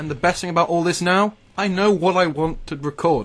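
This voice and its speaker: Noticeable background noise can be heard. Over it, a man speaks at a very fast pace. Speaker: gaming YouTuber. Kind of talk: gameplay commentary monologue. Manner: rambling, halting.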